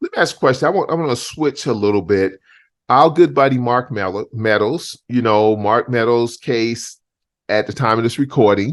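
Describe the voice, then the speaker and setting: In a quiet background, a man with an ordinary speaking voice talks at a medium pitch and moderate pace with ordinary pitch variation. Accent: American. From US South, Charleston, South Carolina. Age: 60s. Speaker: talk show host. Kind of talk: casual interview chat.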